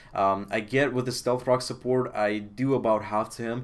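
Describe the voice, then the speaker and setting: The intonation stays monotone and flat. The speaker has a Russian accent. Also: man. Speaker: video game commentator. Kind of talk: game commentary. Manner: hesitant, many fillers.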